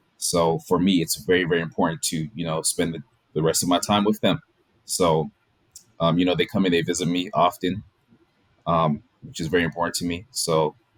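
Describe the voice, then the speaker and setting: A man speaks at a fairly quick pace in a very deep, low pitch. His intonation is fairly even. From Washington DC. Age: 20s. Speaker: orthodontic resident. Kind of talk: interview. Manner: casual.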